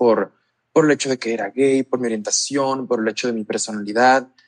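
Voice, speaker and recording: At a fairly quick pace, a man of medium pitch speaks in an unremarkable speaking voice, in a dry, close sound with no echo. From Mexico, La Paz, Baja California Sur. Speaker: LGBTQ+ youth advocate. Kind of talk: interview.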